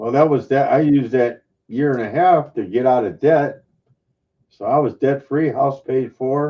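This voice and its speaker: A man with a fairly high pitch, ordinary pitch variation, an unremarkable speaking voice and a moderate pace. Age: 60s. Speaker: retired coin collector. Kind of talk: casual chat. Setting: live stream hangout.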